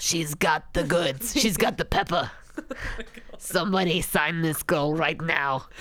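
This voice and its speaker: A woman's put-on character voice, fairly low-pitched and fairly slow, very even in loudness, over light background noise. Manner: gruff, enthusiastic, salesy.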